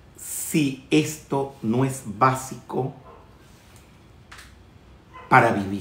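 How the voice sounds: Speaking at a very slow pace with long, frequent pauses, a man with a medium pitch and fairly bright tone is heard amid audible room echo.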